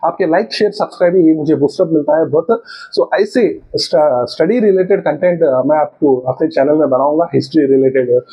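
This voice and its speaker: A man's voice, high in pitch, with ordinary pitch variation. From South India. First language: a South Indian language, not Hindi (speaking Hindi). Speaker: history educator, YouTuber. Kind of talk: lecture. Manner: halting, many fillers.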